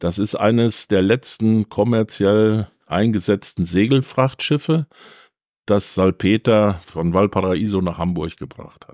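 In a very clean recording with a silent background, a man with a fairly low voice talks very slowly, his loudness swinging widely while his pitch varies normally, the sound dry and close with no echo. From Germany, Siegen area. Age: 60s. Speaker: museum volunteer, former pharma employee. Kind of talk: interview, storytelling. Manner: animated.

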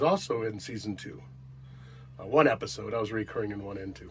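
A man's fairly low-pitched voice, a normal speaking voice, with ordinary pitch variation, a moderate pace and light background noise. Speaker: actor, RV vlogger. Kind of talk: casual vlog chat. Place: home room. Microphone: phone near.

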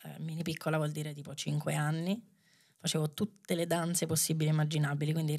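A woman with a very deep, low pitch talks fairly quickly in a flat monotone over a quiet background. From Rome, Italy; Italy. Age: 30s. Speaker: dancer and choreographer; podcast guest. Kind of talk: casual chat. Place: studio. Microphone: studio mic.

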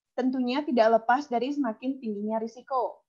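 A woman at a moderate pace, high in pitch, with ordinary pitch variation against a quiet background. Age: young. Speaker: webinar MC. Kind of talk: moderating Q&A, reading out questions. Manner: casual, enthusiastic. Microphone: video call.

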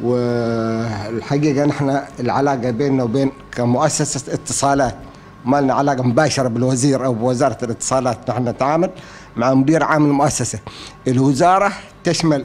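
A man talks at a moderate pace, his intonation fairly even. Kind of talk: interview answer. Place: office. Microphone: studio mic.

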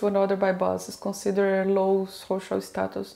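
A woman speaks at a moderate pace with a Portuguese accent. Her tone is dark and mellow, and her intonation is fairly even. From Brazil. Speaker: interviewee sharing life story; interviewee. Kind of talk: interview. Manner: halting. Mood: calm, reflective. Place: home room.

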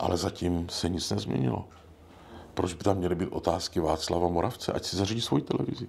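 A man is speaking. His pitch is very deep and low. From Brno, Moravia. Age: old. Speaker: podcast host. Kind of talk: casual chat.

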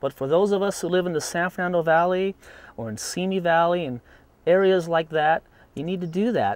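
Dry, echo-free audio captures a man's high voice moving at a fairly quick pace. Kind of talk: tutorial. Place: garden.

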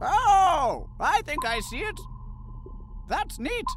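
A man's put-on character voice, extremely high-pitched and very slow, over clear background noise. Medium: dub.

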